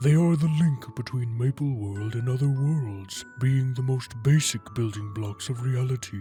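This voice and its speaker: A put-on character voice with clear music in the background. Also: man, medium pitch for a man, moderate pace. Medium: audio drama. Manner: calm, solemn.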